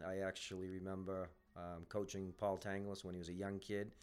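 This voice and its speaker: Fairly low in pitch, a man with an unremarkable speaking voice talks at a moderate pace. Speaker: podcast host. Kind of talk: interview podcast conversation.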